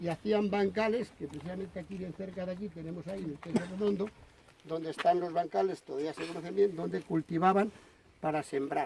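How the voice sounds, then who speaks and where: The delivery is fairly quick. Intonation remains fairly even throughout. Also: man, high pitch for a man. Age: 60s. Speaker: local historian. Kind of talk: informal talk to visitors.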